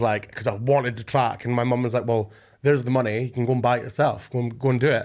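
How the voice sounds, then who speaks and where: A man at a very fast pace and medium pitch, with an east coast Scottish accent. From Scotland, Arbroath (northeast). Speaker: DJ and music producer. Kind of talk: casual chat. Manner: animated.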